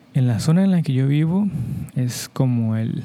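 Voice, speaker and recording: Speaking in a Mexican accent, a man talks at a fairly slow pace with a medium pitch and a dark, mellow tone. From Mexico. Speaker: podcast host, Spanish teacher. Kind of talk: slow educational monologue for Spanish learners. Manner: clear, deliberate pace for learners.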